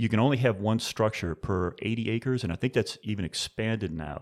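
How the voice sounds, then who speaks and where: A plain, everyday voice from a man with an American accent, fairly low in pitch, fairly quick, with ordinary pitch variation, on a very clean recording with a silent background. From US South, New Orleans. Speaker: wine industry executive. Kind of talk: interview.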